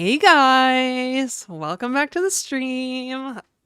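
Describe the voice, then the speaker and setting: In a put-on character voice, a female-sounding voice speaks at a very slow pace with a high pitch on a very clean recording with a silent background. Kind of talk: high-pitched, bubbly. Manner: put-on girly voice.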